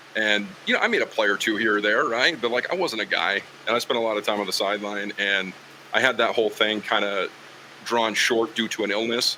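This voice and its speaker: Speaking at a fairly quick pace, a man has a fairly low pitch and fairly even intonation. Background noise is noticeable. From Wyoming, Green River. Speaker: football sideline reporter and play-by-play broadcaster. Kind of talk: casual podcast interview. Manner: conversational, many fillers.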